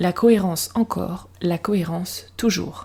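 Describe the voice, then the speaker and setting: A woman's somewhat breathy voice has a dark, mellow tone at a medium pitch. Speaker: podcast host. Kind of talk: podcast monologue. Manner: casual, conversational.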